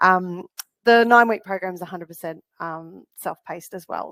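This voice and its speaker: A woman speaks at a fairly quick pace with ordinary pitch variation, in a dry, close sound with no echo. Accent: Australian. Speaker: counsellor and parenting program founder. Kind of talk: educational webinar. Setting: live online webinar. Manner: fast.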